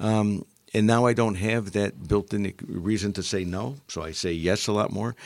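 In an American accent, a man with a fairly low pitch and an unremarkable speaking voice talks with lively intonation. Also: very clean recording, silent background. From Upstate New York (Utica). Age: 60s. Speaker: retired engineering executive. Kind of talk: interview. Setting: studio.

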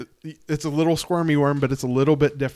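With an American accent, a man speaks very fast in a fairly high-pitched voice. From central Pennsylvania. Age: 40s. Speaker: podcast host and fly tyer. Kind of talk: casual interview. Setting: home studio.

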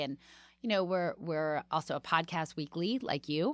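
A woman with an unremarkable speaking voice and an American accent talks at a moderate pace in a fairly low pitch with lively intonation, in a very clean recording with a silent background. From Washington, D.C. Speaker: comedian and podcast host. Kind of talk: casual interview chat.

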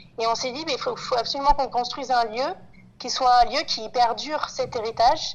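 High-pitched female speech, its pitch moving in an ordinary way. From Paris, France. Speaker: farming collective co-founder. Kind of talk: interview. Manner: halting, with repeated words.

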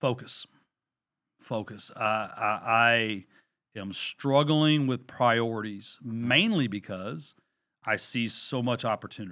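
A man speaks very slowly with a Texan accent, at medium pitch with ordinary variation. The recording is very clean, with a silent background. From Texas. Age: 40s. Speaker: real estate investor and lender, former Marine. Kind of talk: interview.

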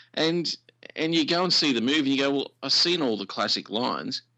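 Talking at a fairly quick pace, a man with an Australian accent shows vocal fry. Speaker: radio presenter.

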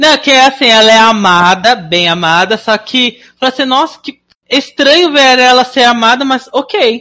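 A woman speaks with a high pitch and a bright, sharp tone. Her pace is fairly slow and her intonation lively. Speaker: podcast host. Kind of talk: casual chat. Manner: animated.

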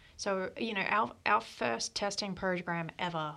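Her pitch is fairly low, with ordinary pitch variation. The woman speaks with an Australian accent. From Sydney, Australia. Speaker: operations and projects director at a power company. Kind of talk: casual interview chat.

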